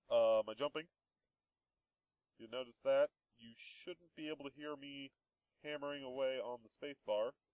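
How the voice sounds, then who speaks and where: A man at a moderate pace, with big swings in loudness and long, frequent pauses. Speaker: Minecraft let's play gamer. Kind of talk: gameplay commentary. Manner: softer than before; casual, hesitant with fillers.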